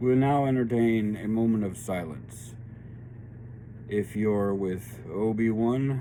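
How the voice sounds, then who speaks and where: A man speaks very slowly with long, frequent pauses, at a medium pitch with fairly even intonation. His tone is dark and mellow, and the room echo is audible. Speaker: tarot and spiritual reading channel host. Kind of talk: spiritual reading monologue. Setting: home studio workshop. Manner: slow because of painkillers.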